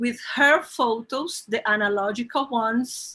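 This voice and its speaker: Speaking very slowly with a Brazilian accent, a woman uses a high pitch, a bright, sharp tone and lively intonation. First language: Portuguese. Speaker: bookseller and event host. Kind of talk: panel introduction. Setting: live stream from own shop. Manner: halting.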